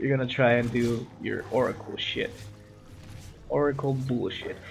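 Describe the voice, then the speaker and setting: A man speaks with a non-native accent over music playing in the background. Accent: non-native English, pronunciation a bit off. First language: not English. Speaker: gaming commentator. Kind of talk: gameplay commentary. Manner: halting, many repetitions and fillers.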